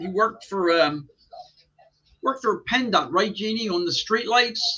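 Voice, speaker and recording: The voice is raised and projected, with lively intonation. The pace is moderate. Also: man. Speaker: wrestling ring announcer. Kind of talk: interview answer, anecdote.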